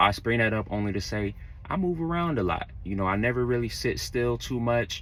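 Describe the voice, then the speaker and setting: Against noticeable background noise, a man with an American accent talks fairly quickly at medium pitch with lively intonation. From Florida, Orlando. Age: 30s. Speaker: truck driver. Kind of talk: casual vlog talk. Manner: casual, conversational.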